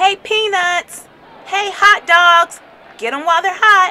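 A woman in a put-on character voice, extremely high in pitch, bright and sharp in tone, slow and fairly even, with faint crowd noise in the background

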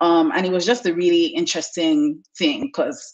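Very wide pitch swings against a quiet background. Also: woman. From Lagos, Nigeria. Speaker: content marketer; interview guest. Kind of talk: interview. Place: home room. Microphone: video call.

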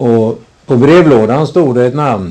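A man speaks very slowly in a dark, mellow tone. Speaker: interviewer. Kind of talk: interview, guided local history talk. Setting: at interviewee's home. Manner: formal, somewhat old-fashioned phrasing.

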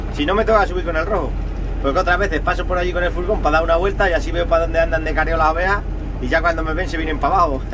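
Over noticeable background noise, a man rattles off his words very fast. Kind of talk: casual vlog chat. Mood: cheerful, joking. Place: farm machine. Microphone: phone near.

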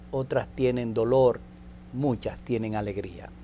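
A man speaks at a fairly slow pace. Light background noise is present. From Dominican Republic. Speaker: TV host. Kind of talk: TV interview. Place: studio. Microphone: lapel.

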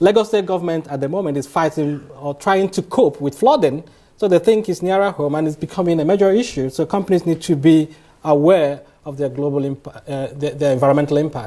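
A man's fairly high voice with a dark, mellow tone, ordinary pitch variation and a fairly quick pace, over a quiet background. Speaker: lecturer. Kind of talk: lecture. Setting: stage with audience. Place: hall.

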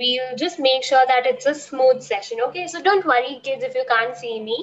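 Against light background noise, the speech moves at a moderate pace with ordinary pitch variation. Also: woman. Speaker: online art teacher. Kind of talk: class introduction to children. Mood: reassuring, friendly. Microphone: video call.

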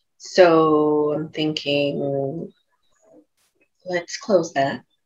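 Quiet surroundings and a female speaker. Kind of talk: describing a session, free talk. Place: home room. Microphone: earbuds.

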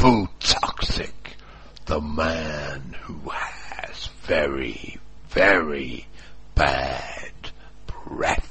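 Over light background noise, a man with a raspy voice speaks at a very slow pace with long, frequent pauses. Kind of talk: mock-epic trailer narration. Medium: comedy sketch. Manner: grandiose, ominous.

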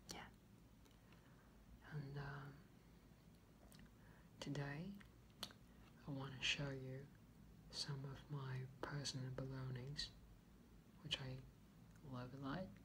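Very slowly, with long, frequent pauses, a man speaks in a flat monotone with a bright, sharp tone amid noticeable background noise. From Taiwan. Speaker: ASMR creator. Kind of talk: ASMR soft-spoken chat to camera. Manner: soft-spoken, relaxed. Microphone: phone near.

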